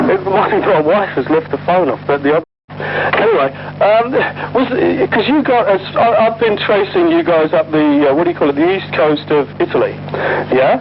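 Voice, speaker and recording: With noticeable background noise behind him, a man talks at a moderate pace in a high pitch, his intonation lively. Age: 50s. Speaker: unit history researcher, son of a veteran. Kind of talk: casual chat. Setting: phone call. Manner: halting.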